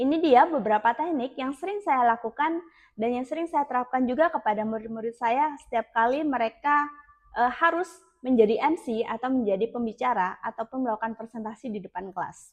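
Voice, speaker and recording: A shrill voice at a fairly quick pace. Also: woman, high pitch for a woman, lively intonation. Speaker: public speaking teacher. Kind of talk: tutorial.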